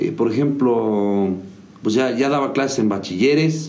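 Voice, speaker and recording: The voice has a dark, mellow tone and lively intonation. It keeps a moderate pace. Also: man. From Mexico, Hidalgo. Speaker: musician and music teacher. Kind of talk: interview. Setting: video show.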